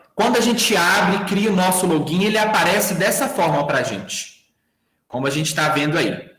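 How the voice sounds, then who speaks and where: A high-pitched man at a moderate pace, with audible room echo over a quiet background. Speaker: workshop instructor. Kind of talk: online tutorial. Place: home room.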